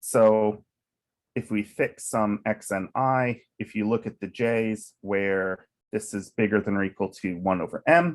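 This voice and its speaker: A man with a plain, everyday voice, fairly low in pitch with ordinary variation, at a fairly slow pace, in a very clean recording with a silent background. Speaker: mathematician. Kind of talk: lecture.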